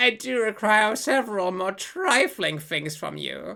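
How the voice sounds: The speaker uses a natural reading voice with lively intonation.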